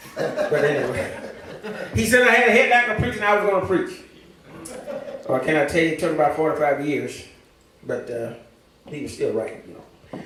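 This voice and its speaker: Lively intonation in an American accent, with audible room echo and noticeable background noise. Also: man. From Louisiana. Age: 70s. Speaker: church member, teacher and preacher. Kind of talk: testimony. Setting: church service.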